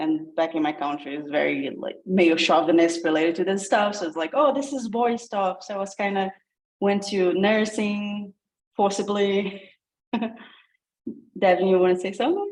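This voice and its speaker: The speaker talks at a moderate pace in a Brazilian accent with ordinary pitch variation. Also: woman, medium pitch for a woman. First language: Portuguese. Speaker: coding program participant. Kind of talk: casual self-introduction.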